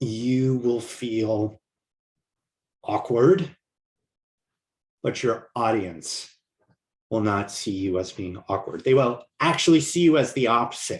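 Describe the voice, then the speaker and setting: A somewhat breathy man with an American accent, a very slow pace, lively intonation and long, frequent pauses. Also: medium pitch for a man. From New York. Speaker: communication coach. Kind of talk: online course lecture. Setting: video recording to camera. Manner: little voice modulation.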